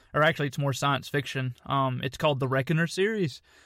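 On a very clean recording with a silent background, a man speaks at a fairly high pitch in a bright, sharp tone with fairly even intonation. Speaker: podcast co-host. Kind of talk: casual chat.

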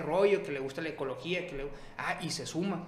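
A man speaking at a fairly quick pace, with audible room echo and noticeable background noise. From Sonora, Mexico (Ciudad Obregón). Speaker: image consultant and entrepreneur. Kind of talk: casual chat.

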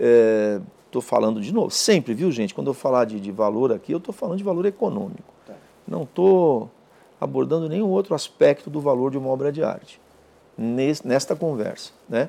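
With a dark, mellow tone, a man talks at a fairly high pitch that swings very widely. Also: moderate pace. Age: 50s. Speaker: art authentication expert and professor. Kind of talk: interview.

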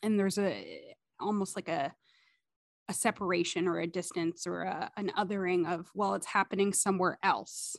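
In a quiet background, a woman speaks in a normal speaking voice at a medium pitch and moderate pace, with fairly even intonation and a dry, close sound with no echo. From Ottawa, Canada. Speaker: podcast host. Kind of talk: podcast intro and interview.

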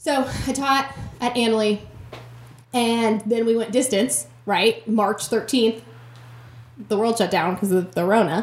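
With noticeable background noise, a woman with an American accent speaks at a fairly slow pace, pitched fairly high with ordinary pitch variation and long, frequent pauses. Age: 20s. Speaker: teacher. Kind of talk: casual chat.

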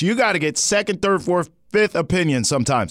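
A man's voice is high and animated, swinging very widely in pitch. The recording is very clean with a silent background. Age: 30s. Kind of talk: casual chat. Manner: animated, jokey.

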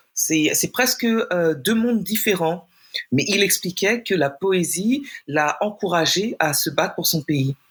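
At a very slow pace, a woman with a medium pitch speaks in a somewhat breathy voice, keeping her loudness very even while her intonation stays lively. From France. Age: 40s. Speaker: poet. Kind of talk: interview.

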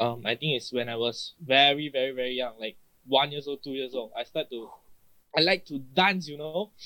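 A man with a Malaysian accent, a fairly high pitch, a bright, sharp tone, ordinary pitch variation and a fairly quick pace. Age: 20s. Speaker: guest singer. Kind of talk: casual chat.

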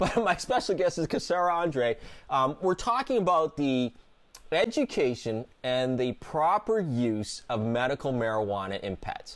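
His voice sits fairly high for a man and moves through very wide pitch swings. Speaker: veterinarian and radio host. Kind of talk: radio interview.

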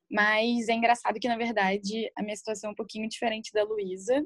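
This woman sounds somewhat breathy. Her intonation stays fairly even. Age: 20s. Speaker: nail bar owner. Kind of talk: casual interview chat.

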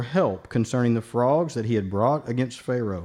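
This man, with an unremarkable speaking voice, talks at a moderate pace and uses lively intonation. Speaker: scripture reader. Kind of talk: reading aloud.

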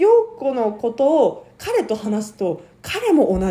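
A woman speaks over noticeable background noise. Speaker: podcast host. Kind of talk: casual chat. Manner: loud.

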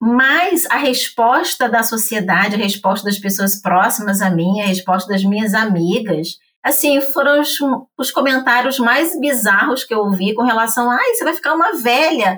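With an unremarkable speaking voice, a woman talks at a moderate pace and fairly high pitch, her intonation lively and her loudness very even. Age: 50s. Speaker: English teacher and entrepreneur. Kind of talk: casual chat.

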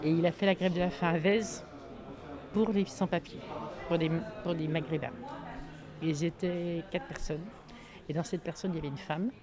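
Pausing long and often, a woman speaks at a moderate pace in a fairly low pitch with ordinary pitch variation. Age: 60s. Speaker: retired activist taking part in a theatre occupation. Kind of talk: casual chat.

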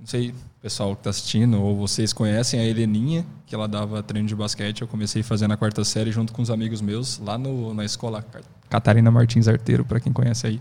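A man talks at a very fast pace in a medium pitch. His dark, mellow tone stays monotone and flat. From Brazil, Presidente Prudente (São Paulo state). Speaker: hip hop dance teacher. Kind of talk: casual interview chat.

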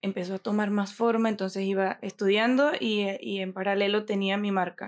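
Her intonation fairly even, a woman talks at a moderate pace and a medium pitch. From Venezuela, Mérida. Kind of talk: interview.

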